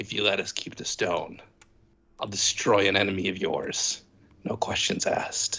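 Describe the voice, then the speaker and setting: A man uses a put-on character voice that is gravelly and fairly low for a man. He goes at a moderate pace. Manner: menacing, bargaining.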